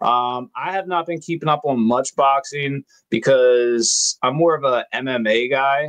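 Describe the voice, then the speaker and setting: A man with a Baltimore accent speaks at a fairly slow pace, his pitch fairly high with ordinary variation. The sound is dry and close, with no echo. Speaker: podcast host. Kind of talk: casual chat.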